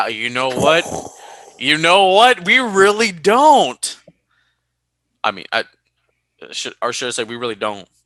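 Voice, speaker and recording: With a Californian accent and a bright, sharp tone, a man speaks at a moderate pace and fairly high pitch, using very wide pitch swings, big swings in loudness and long, frequent pauses, in a dry, close sound with no echo. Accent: Californian, drops T sounds. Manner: conversational, demonstrating pronunciation.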